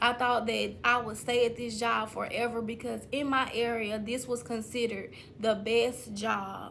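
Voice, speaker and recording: A woman's fairly high, flat, monotone voice in a Mississippi accent, at a moderate pace with hardly any pauses and audible room echo. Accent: Southern US (Mississippi). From US South, Mississippi. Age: 30s. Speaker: online business coach / YouTuber. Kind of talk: motivational talk to camera.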